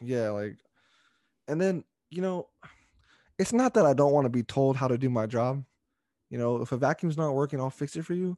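A man's dark, mellow voice with a Californian accent, lively intonation, and long, frequent pauses, in a dry, close sound with no echo. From Stockton, California. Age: 20s. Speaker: wrestling podcast host. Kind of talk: casual chat.

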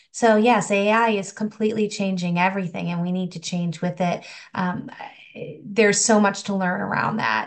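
A woman with an American accent, an unremarkable speaking voice, medium pitch, fairly even intonation and a moderate pace. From rural Massachusetts, US. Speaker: higher education marketing consultant. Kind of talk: podcast interview.

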